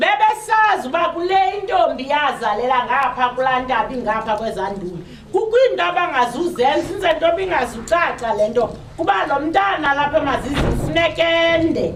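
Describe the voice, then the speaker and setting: With a South African accent, the speaker talks at a fairly quick pace with very wide pitch swings, amid audible room echo and noticeable background noise. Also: woman, high pitch for a woman. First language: Xhosa. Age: 60s. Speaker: panel speaker. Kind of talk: public talk. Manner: halting.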